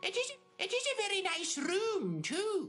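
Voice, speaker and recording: With music in the background, a squeaky, put-on character voice at an extremely high pitch moves at a moderate pace. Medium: audio drama. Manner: sweetly patient, calls everyone dear.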